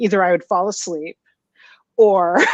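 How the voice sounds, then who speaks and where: This woman has an unremarkable speaking voice with ordinary pitch variation. She speaks at a moderate pace in a dry, close sound with no echo. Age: 50s. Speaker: book podcast host. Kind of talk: casual chat.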